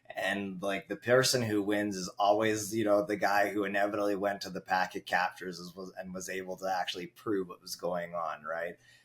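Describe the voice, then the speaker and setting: A man with a Canadian accent and an ordinary speaking voice, fairly low-pitched, at a fairly quick pace with hardly any pauses, fairly even intonation and big swings in loudness. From Canada. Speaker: network engineer. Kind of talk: casual chat.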